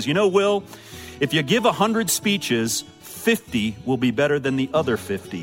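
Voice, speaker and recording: Over music in the background, a booming, put-on character voice moves at a fairly slow pace with very wide pitch swings. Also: man, medium pitch for a man. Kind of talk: radio announcer. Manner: confident, authoritative.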